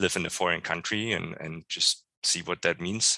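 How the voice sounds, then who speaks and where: With a German accent, a man speaks in a very deep, low pitch and a bright, sharp tone, his sound dry and close with no echo over a quiet background. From East Germany. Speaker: church member. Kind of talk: interview. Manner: halting.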